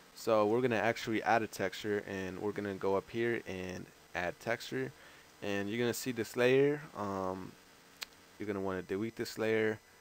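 With a plain, everyday voice and an American accent, a man speaks at a moderate pace and a fairly low pitch, with ordinary pitch variation. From outside the US. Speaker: gaming YouTuber. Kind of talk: tutorial. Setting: screen recording voiceover. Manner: casual, filler-heavy.

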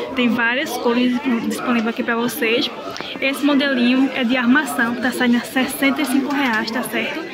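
A woman talks at a fairly slow pace. Crowd noise fills the background. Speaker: shopping vlogger. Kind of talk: casual vlog chat showing products. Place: market. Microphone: phone near.

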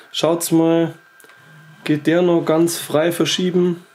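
Noticeable background noise runs behind a man speaking in a high pitch. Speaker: YouTuber, 3D printing hobbyist. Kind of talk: casual tutorial.

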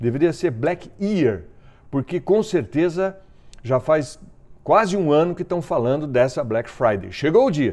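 A man's fairly high voice moves at a fairly slow pace. His tone is animated, with very wide pitch swings. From southern Brazil, Caxias do Sul (Rio Grande do Sul); Rio Grande do Sul, Brazil. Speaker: news commentator. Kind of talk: opinion commentary monologue. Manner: conversational, animated. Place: home room. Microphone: lapel.

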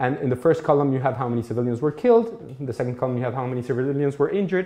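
A man speaks with a Mexican accent. His pace is very fast. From Mexico. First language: Spanish. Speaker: law professor. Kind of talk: lecture. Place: classroom.

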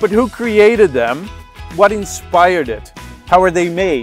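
Faint music plays in the background as a man talks at a fairly slow pace with lively intonation, the sound dry with no echo. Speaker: video host. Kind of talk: documentary-style narration. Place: garden.

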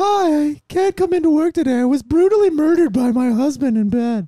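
A put-on character voice, high in pitch, moves at a fairly quick pace.

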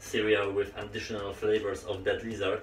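With light background noise and an audible echo from the room, a man speaks at a moderate pace. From Poland, Olsztyn area. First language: Polish. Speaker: gaming YouTuber. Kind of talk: storytime vlog while playing VR. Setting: home recording, VR headset. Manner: halting, many fillers. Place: home room.

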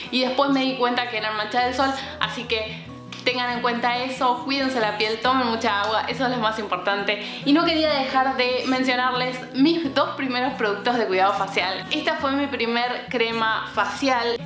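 A woman's high-pitched voice at a moderate pace, fairly even in intonation, over clear music in the background. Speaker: beauty vlogger. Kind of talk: casual vlog chat. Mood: warm, cheerful. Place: home room.

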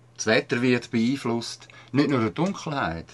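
A man's medium-pitched voice in a Swiss accent at a moderate pace, in a very clean recording with a silent background. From Switzerland. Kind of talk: activist commentary voice-over.

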